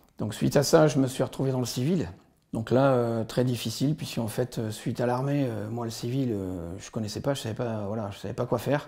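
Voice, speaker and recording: At a fairly quick pace, a man speaks with a dark, mellow tone, medium pitch and ordinary pitch variation. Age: 50s. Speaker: army veteran. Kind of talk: testimony. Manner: halting.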